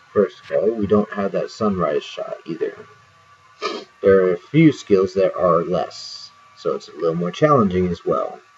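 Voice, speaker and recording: A man over music in the background, with big swings in loudness. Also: moderate pace. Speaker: video game streamer. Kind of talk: gameplay commentary.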